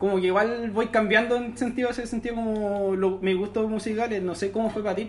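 The speaker has a Chilean accent and a fairly quick pace. There are hardly any pauses. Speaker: student podcast host. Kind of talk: casual chat.

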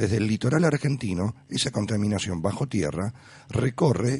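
A somewhat breathy man's voice, fairly low in pitch, with lively intonation. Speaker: radio host. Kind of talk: radio interview.

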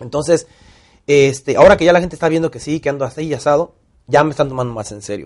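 Very fast and animated, the speech has big swings in loudness. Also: man, fairly high pitch for a man, ordinary pitch variation. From Mexico, Tampico (Gulf coast). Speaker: actor and director. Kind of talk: casual interview storytelling.

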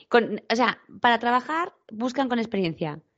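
At a fairly slow pace, a woman speaks in an animated tone with lively intonation. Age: 40s. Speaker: tourism professional, podcast co-host. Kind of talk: casual chat.

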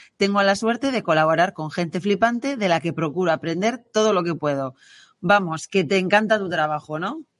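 In a quiet background, a woman uses a normal speaking voice at medium pitch and a moderate pace, her intonation lively. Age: 40s. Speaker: podcast host, marketing agency co-founder. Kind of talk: podcast interview.

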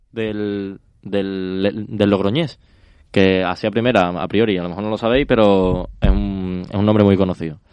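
A man's unremarkable speaking voice, fairly low-pitched, at a fairly slow pace against a quiet background. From Spain, Logroño (La Rioja). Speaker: quiz host. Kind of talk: casual chat. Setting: studio.

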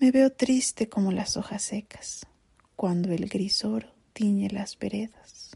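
The voice is somewhat breathy with a dark, mellow tone, fairly even intonation and a very slow pace. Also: woman, medium pitch for a woman. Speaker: narrator. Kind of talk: poetry reading. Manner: slow, melancholic.

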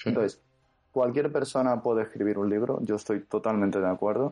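A man with an unremarkable speaking voice, ordinary pitch variation and a fairly quick pace. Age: 20s. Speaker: fantasy novelist. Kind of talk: interview.

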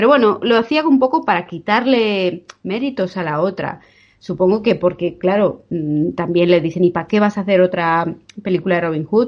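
With lively intonation, a woman in an ordinary speaking voice talks at a moderate pace and medium pitch. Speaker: podcast co-host. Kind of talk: casual chat. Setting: remote recording.

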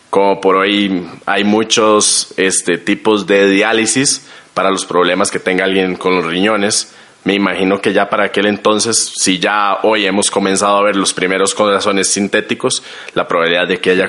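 Over noticeable background noise, the voice moves at a moderate pace with monotone, flat intonation. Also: man. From Costa Rica. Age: 20s. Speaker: guest. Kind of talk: casual chat.

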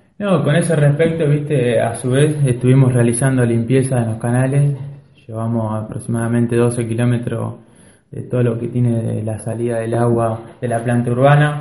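A man's dark, mellow voice at medium pitch, fairly even in intonation, at a moderate pace, with audible room echo. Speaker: local government official. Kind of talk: radio interview.

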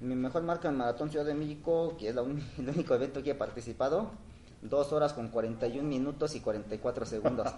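This man's voice has a dark, mellow tone and a fairly high pitch, with ordinary pitch variation and a fairly quick pace. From Oaxaca, Mexico. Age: 40s. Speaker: runner. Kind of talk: casual interview.

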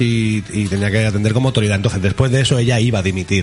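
A man speaks at a fairly low pitch with fairly even intonation. Music plays in the background. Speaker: radio host. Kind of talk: casual chat. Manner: fast.

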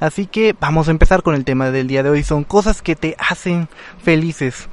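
Fairly high in pitch, a man speaks in an animated tone at a moderate pace with ordinary pitch variation. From Mexico, Guerrero. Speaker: radio host. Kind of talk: casual radio talk.

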